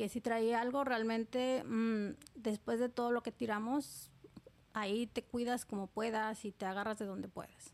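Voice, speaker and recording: Her pitch fairly high, a woman speaks in an ordinary speaking voice at a fairly slow pace with fairly even intonation. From Oaxaca, Mexico. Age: 30s. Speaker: immigrant. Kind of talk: testimony.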